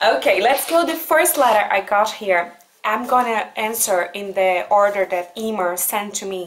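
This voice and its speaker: A woman with a Brazilian accent speaks at medium pitch. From Brazil (Goiânia). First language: Portuguese. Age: 20s. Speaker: vlogger. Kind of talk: casual talk to camera answering letters.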